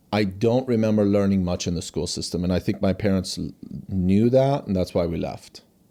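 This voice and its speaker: A man speaks in a dark, mellow tone at a fairly low pitch. His pace is fairly quick. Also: ordinary pitch variation. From Iran (Tehran), raised in USA from age 7. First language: Farsi. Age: 40s. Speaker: company founder and CEO. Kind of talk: interview conversation. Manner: halting, many restarts.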